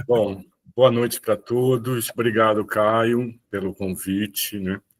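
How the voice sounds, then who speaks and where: A man speaks in a flat monotone. The sound is dry and close, with no echo. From Brazil, Rio de Janeiro and Olinda. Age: 60s. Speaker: visual artist. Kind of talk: talk on own career.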